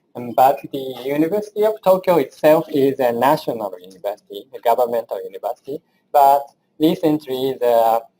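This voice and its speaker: A man with a Japanese accent at medium pitch and a moderate pace, lively in intonation, in a dry, close sound with no echo. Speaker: engineering professor. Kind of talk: lecture. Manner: halting.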